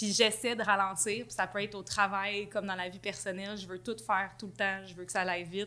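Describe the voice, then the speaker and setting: A woman talks at a fairly quick pace, her pitch in the medium range. Her tone is bright and sharp, with big swings in loudness. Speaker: marketing and content director. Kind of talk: casual interview chat. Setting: boutique studio. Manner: fast; energetic.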